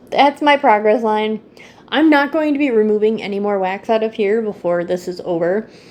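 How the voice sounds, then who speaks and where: Here is an ordinary speaking voice with lively intonation at a moderate pace. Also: woman. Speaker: candle YouTuber. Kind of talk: casual product review vlog.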